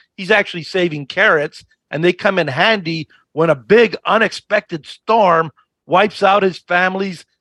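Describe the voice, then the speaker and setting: A man with a high voice speaks at a moderate pace, his tone bright, sharp and animated, with ordinary pitch variation. The sound is dry and close, with no echo. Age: 60s. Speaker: financial educator. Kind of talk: interview.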